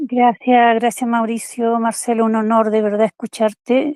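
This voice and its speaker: Recorded very cleanly with a silent background and a dry, close sound with no echo, a woman speaks at a fairly slow pace with a fairly high pitch. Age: 60s. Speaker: invited participant. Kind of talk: emotional tribute.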